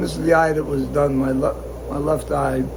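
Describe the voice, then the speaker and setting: Through audible room echo and noticeable background noise, a man speaks at a moderate pace. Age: 70s. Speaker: guppy breeder and show exhibitor. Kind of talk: casual video update. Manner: hesitant, many fillers.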